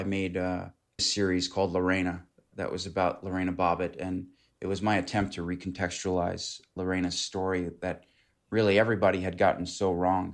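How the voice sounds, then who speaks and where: Against a quiet background, a man with a very deep, low pitch speaks at a fairly quick pace. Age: 30s. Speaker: documentary director. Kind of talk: interview.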